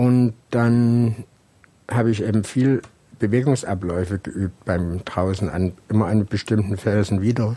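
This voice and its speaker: Here is a man with a plain, everyday voice, pitched fairly low. His intonation is fairly even and his pace fairly slow. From Saxony, Germany (Saxon Switzerland). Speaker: rock climber and climbing instructor. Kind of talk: interview. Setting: at his home.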